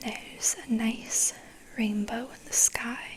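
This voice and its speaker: The voice is whispering at a very slow pace. Noticeable background noise can be heard. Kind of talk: ASMR picture book read-aloud, soft spoken and whispering. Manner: soft-spoken, whispering.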